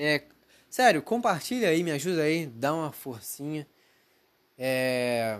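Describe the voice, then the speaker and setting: A man talks at a very slow pace, leaving long, frequent pauses. His pitch moves in very wide swings. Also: fairly high pitch for a man. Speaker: podcaster. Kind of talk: casual monologue. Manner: rambling, unscripted.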